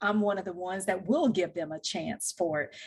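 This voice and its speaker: In a Southern US accent, a woman speaks with fairly even intonation. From US South, Louisiana and Mississippi. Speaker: technical recruiter. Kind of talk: podcast interview. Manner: formal.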